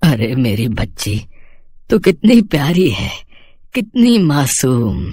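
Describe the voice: Putting on a character voice, a man talks slowly at a medium pitch, his slightly mellow tone swinging widely up and down.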